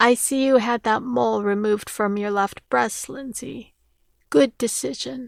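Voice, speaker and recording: In a put-on character voice, a woman speaks at a fairly high pitch and a moderate pace on a very clean recording with a silent background. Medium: read story. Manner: teasing, shameless.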